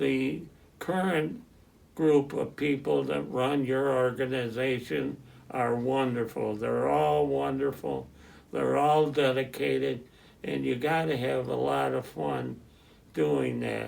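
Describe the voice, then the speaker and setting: A man with an American accent speaks at a very slow pace, with audible echo in the room. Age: 90s. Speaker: retired football player and youth football volunteer. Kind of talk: interview. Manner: halting.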